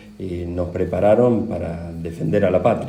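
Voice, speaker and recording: Audible room echo surrounds a man with a very deep, low pitch who speaks at a fairly slow pace with fairly even intonation. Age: 60s. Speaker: war veteran. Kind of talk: interview. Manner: halting.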